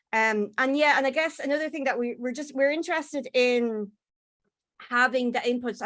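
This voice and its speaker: Speaking in an Irish accent, a woman has a high pitch and ordinary pitch variation. Her pace is moderate. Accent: Irish, software struggles with it. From Ireland. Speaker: postdoctoral researcher. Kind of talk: conference presentation. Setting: conference session. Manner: hesitant, many fillers and repetitions.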